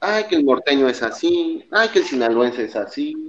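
A man is speaking. His pace is fairly slow. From Mexico City, then Baja California Sur from age 12. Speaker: engineer. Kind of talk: casual chat.

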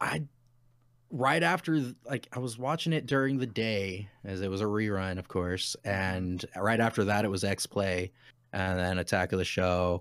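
Here is a man with an American accent and a plain, everyday voice. His pitch is fairly low, with ordinary pitch variation. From Utah. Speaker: actor and former navy sailor. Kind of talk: casual interview chat. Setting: video call.

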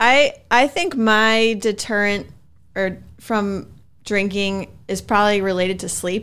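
Recorded very cleanly with a silent background, a plain, everyday voice speaks at a fairly slow pace with ordinary pitch variation. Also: woman. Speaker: podcast co-host, reads sponsor and listener questions. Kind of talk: casual chat.

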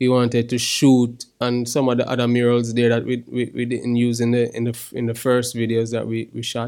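A man talks at a moderate pace and medium pitch, with monotone, flat intonation and hardly any pauses. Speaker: musician and podcast co-host. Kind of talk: casual chat. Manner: halting.

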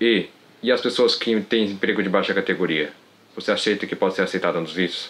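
Fairly even intonation marks a man's fairly quick delivery. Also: fairly low pitch for a man. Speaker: viewer asking a question. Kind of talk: recorded question message.

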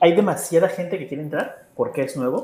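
A man's somewhat breathy voice carries lively intonation. He moves at a fairly quick pace. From Mexico. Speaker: Mexican expat living in Japan. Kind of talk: casual chat.

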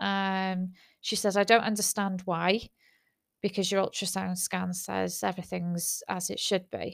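Speaking with a British accent in a flat monotone at medium pitch, a woman talks at a fairly slow pace on a very clean recording with a silent background. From UK. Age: 30s. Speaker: podcaster. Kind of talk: personal monologue. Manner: halting.

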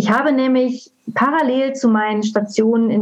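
A woman with a normal speaking voice and fairly high pitch talks at a moderate pace. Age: 40s. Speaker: coach. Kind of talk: interview.

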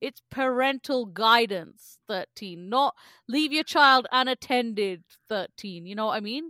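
A woman's bright, sharp, fairly high voice with a British accent at a very slow pace, with big swings in loudness, on a very clean recording with a silent background. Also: lively intonation, dry, close sound with no echo. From England, British Indian family. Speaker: podcast co-host. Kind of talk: casual chat.

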